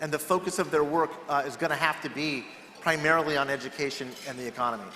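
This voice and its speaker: Noticeable background noise sits behind a man with an American accent. His fairly high voice races along at a very fast pace with fairly even intonation. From California. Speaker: political strategist. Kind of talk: panel discussion.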